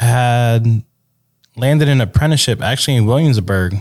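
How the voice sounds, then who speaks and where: Speaking at a fairly quick pace, a man with an unremarkable speaking voice and a medium pitch is heard in a very clean recording with a silent background. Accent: American. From New York State (Hudson Valley). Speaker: tattoo artist. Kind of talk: casual chat.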